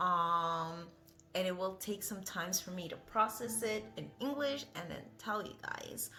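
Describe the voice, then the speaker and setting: A woman talks at a fairly slow pace at medium pitch with ordinary pitch variation while music plays in the background. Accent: non-native. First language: not English. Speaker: vlogger. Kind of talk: casual vlog monologue. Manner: rambling, hesitant with many fillers.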